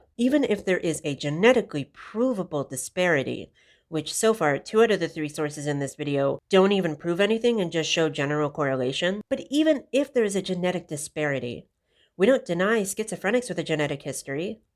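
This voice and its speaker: In a very clean recording with a silent background, a woman talks at a very fast pace with very wide pitch swings. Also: fairly low pitch for a woman. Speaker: YouTube commentator. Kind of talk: reaction video commentary. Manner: unscripted.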